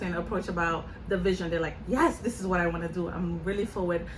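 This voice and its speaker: A woman's voice is heard amid noticeable background noise and audible room echo. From Senegal, West Africa. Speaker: nonprofit founder, college counselor. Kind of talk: interview. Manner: conversational.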